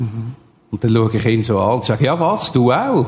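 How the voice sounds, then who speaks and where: With a Swiss accent, a man speaks at a medium pitch and a fairly quick pace, his voice somewhat breathy and his pitch varying in an ordinary way. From Switzerland, canton Solothurn. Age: 60s. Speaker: former prisoner and drug addict. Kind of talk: testimony.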